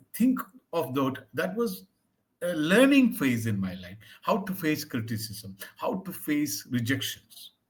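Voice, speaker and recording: A man with vocal fry talks at a fairly slow pace, his pitch swinging very widely. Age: 60s. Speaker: English tutor. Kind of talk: one-on-one language lesson, conversational.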